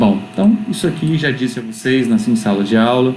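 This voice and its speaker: There is audible room echo as a man speaks at a medium pitch with fairly even intonation. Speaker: university physiology lecturer. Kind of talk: online lecture. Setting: recorded on a laptop at home. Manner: fast.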